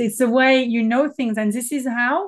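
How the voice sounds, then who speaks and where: A woman in a French accent, high in pitch with ordinary variation, at a fairly quick pace against a quiet background. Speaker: business mentor and consultant. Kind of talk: casual interview chat.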